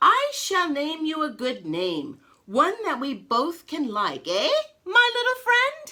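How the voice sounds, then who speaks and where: A woman speaks in a put-on character voice, pitched extremely high and delivered at a fairly slow pace. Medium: read story.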